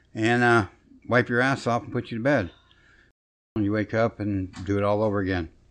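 Against a quiet background, a man with a fairly low pitch speaks at a moderate pace with fairly even intonation and long, frequent pauses. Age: 50s. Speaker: stroke survivor. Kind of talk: casual chat.

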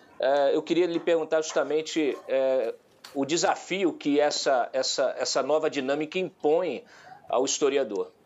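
A man speaks at a fairly slow pace. His loudness stays very even throughout. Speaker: journalist and news site editor. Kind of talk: talk show discussion. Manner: halting with many fillers.

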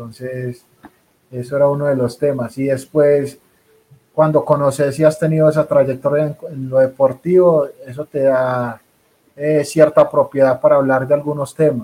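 Speaking at a fairly slow pace, a man with a fairly high pitch and a dark, mellow tone uses monotone, flat intonation. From Colombia. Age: 30s. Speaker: rugby player turned coach. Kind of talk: interview.

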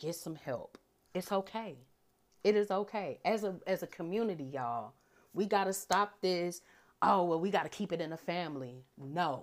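A woman speaks at a moderate pace in a fairly low pitch with lively intonation. The recording is very clean, the background silent. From US Midwest, St. Louis. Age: 30s. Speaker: podcast host. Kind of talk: casual monologue.

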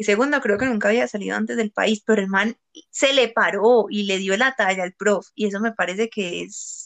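At a moderate pace, a woman at medium pitch with ordinary pitch variation and vocal fry sounds dry and close, with no echo. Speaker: podcast host. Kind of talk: casual chat.

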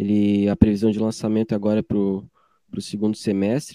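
The recording has a dry, close sound with no echo as a man speaks in a fairly low voice with a dark, mellow tone. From Joinville, Santa Catarina, southern Brazil. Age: 20s. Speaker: musician. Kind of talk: interview. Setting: at home in his bedroom.

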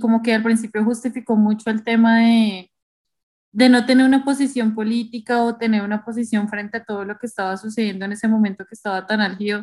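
A woman speaks at a fairly quick pace with a somewhat breathy sound. Her intonation stays monotone and flat. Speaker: podcast co-host. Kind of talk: casual podcast discussion.

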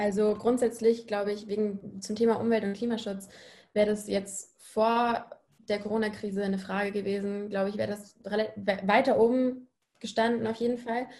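A woman with a fairly high, somewhat breathy voice talks at a moderate pace in a monotone, flat intonation. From Munich, Bavaria. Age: 20s. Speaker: university student. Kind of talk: panel discussion.

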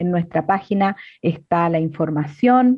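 A woman talks with lively intonation. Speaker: co-host. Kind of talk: casual chat.

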